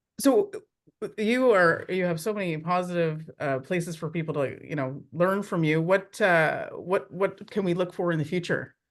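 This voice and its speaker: Against a quiet background, a man with a high pitch talks at a moderate pace, using ordinary pitch variation. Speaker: interview host. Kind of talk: interview. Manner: halting, stumbles over words.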